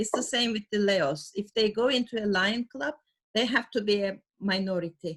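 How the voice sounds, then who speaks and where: Somewhat breathy, a woman speaks at a medium pitch. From Turkey. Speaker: service club member. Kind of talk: video call discussion.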